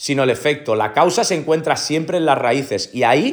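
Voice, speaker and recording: A man talks in a normal speaking voice. His pace is moderate and his pitch varies in an ordinary way. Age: 30s. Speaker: podcast host, entrepreneur, former soldier. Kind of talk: motivational monologue. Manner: repeats filler "¿no?" and "¿ok?".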